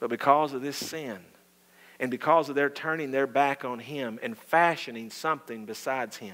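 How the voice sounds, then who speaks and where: A man talks at a moderate pace with a Southern US accent and a fairly high pitch. His loudness swings widely. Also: ordinary pitch variation. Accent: Southern American. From US South. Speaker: pastor. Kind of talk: sermon. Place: church.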